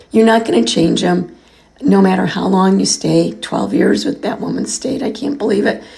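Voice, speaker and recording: A woman keeps a moderate pace, with noticeable background noise behind her. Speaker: podcast host. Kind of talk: podcast monologue. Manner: casual, conversational.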